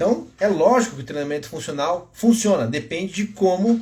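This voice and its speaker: A man with a high pitch and very wide pitch swings. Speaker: physiotherapist and fitness educator. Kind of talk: live-stream lecture. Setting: Instagram live stream. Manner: gets louder when excited.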